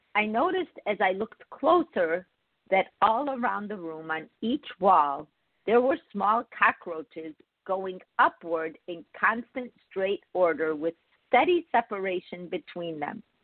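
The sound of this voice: A woman speaks at a fairly slow pace and medium pitch with lively intonation, in a dry, close sound with no echo.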